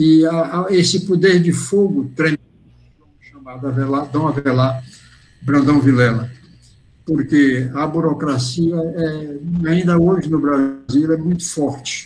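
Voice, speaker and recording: At a very slow pace, a man with a fairly high pitch and fairly even intonation sounds somewhat breathy, with audible room echo around him. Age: 80s+. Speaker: retired professor and academy member giving a talk. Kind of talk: memoir lecture. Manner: halting, with self-corrections.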